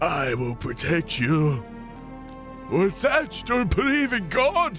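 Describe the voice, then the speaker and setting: Clear music can be heard behind the voice. The delivery is a put-on character voice. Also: man. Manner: pious, zealous.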